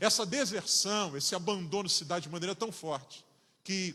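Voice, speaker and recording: Over noticeable background noise, a man with a Rio de Janeiro accent talks fairly slowly at a high pitch with ordinary pitch variation. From Rio de Janeiro, Brazil. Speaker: pastor. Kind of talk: sermon.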